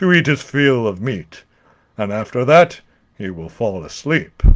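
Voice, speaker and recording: Using a put-on character voice at medium pitch, a man speaks at a moderate pace with very wide pitch swings and big swings in loudness. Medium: read story.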